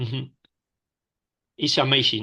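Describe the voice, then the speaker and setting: Over a quiet background, a man with a Spanish accent speaks in a bright, sharp tone. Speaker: stroke survivor. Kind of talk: testimony. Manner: halting.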